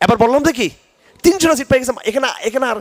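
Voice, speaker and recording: This man's tone is animated. His intonation is lively. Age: 50s. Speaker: Islamic scholar. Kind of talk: religious lecture answering a question.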